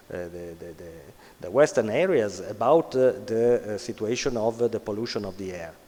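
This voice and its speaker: A man's medium-pitched voice in an Italian accent, at a moderate pace with lively intonation. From Italy. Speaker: conference speaker on sports social responsibility. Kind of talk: conference talk. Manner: halting, many fillers.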